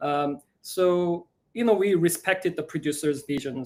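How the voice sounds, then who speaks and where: A man with a Korean accent talks at a fairly slow pace. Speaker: musical theatre writer. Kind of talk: live Q&A chat. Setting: live broadcast. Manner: halting, many fillers.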